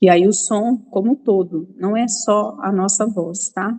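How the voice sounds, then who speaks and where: In a Minas Gerais accent, a woman speaks with a fairly high, somewhat breathy voice and fairly even intonation. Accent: mineiro. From Minas Gerais, Brazil (Belo Horizonte). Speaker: image and nonverbal communication mentor. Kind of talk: talk to an online women's group.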